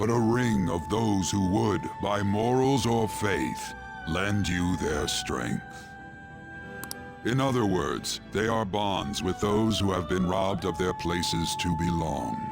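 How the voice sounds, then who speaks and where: Over loud background music, a man uses a put-on character voice that is very deep and low, speaking at a fairly slow pace. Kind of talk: ornate formal speech. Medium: game stream. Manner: slow, measured, cryptic.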